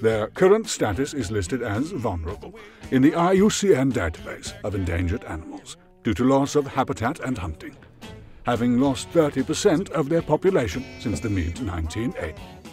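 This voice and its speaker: Over music in the background, a man at a medium pitch talks at a fairly quick pace with very wide pitch swings. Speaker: voice-over artist. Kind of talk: documentary-style animal fact narration.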